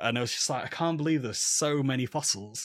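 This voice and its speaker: A man speaks at a fairly quick pace with a Manchester accent and fairly even intonation. The sound is dry and close with no echo, on a very clean recording with a silent background. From Manchester, England. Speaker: paleontologist and podcaster. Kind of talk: interview conversation.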